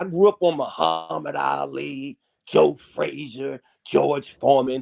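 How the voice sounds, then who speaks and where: The sound is close and dry, without any echo. A man speaks fairly slowly. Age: 60s. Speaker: caller. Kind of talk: casual chat.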